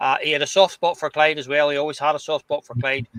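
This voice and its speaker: In a Glasgow accent, a man speaks with monotone, flat intonation. The sound is dry and close, with no echo. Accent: Scottish (Glasgow). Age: 60s. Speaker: podcast host. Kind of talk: casual chat.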